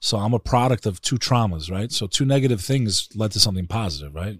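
On a very clean recording with a silent background, a man speaks with a New York accent. His pitch is fairly low with ordinary variation, and his pace is fairly quick. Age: 40s. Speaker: Albanian-American podcaster. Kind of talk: casual interview conversation. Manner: animated.

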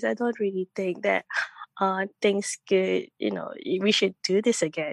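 Moderate pace and ordinary pitch variation, with a dry, close sound with no echo over a quiet background. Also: woman. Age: 30s. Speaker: caller. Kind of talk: casual call-in conversation. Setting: phone call. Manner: halting.

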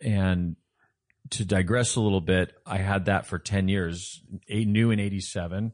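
With an American accent, a man speaks in a normal speaking voice at a fairly low pitch, with ordinary pitch variation over a quiet background. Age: 50s. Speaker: car enthusiast, former pathology lab worker. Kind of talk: casual chat.

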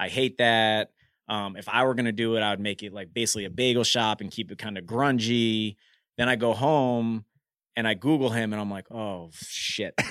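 In a very clean recording with a silent background, a man has a plain, everyday voice at a medium pitch. He keeps a moderate pace and fairly even intonation, with big swings in loudness. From US, Washington DC. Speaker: restaurant founder. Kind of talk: interview. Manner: casual.

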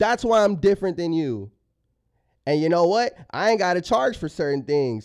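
With an American accent, a man talks at a moderate pace in a high pitch, his tone animated and his pitch swinging very widely, on a very clean recording with a silent background. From San Antonio, Texas (also raised partly in Los Angeles). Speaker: rapper. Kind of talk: casual interview.

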